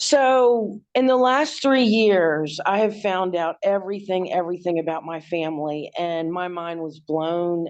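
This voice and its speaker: Against a quiet background, a woman with an American accent and a fairly low pitch speaks at a fairly slow pace with ordinary pitch variation in an ordinary speaking voice. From Washington D.C., US. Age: 60s. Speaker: abuse survivor, hairdresser. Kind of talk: interview testimony.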